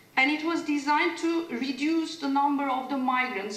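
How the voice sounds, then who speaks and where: Both audible room echo and noticeable background noise are present in the clip. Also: woman. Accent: Turkish. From Turkey. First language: Turkish. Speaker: legal scholar, conference panelist. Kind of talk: academic conference presentation. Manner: hesitant, many filler sounds.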